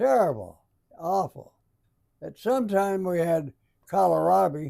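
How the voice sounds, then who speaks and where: A man with an American accent speaks at a high pitch in a dark, mellow tone. His pace is very slow, and his pitch swings very widely. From Alton, Illinois. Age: 80s+. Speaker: WWII veteran, former prisoner of war. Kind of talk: interview answer.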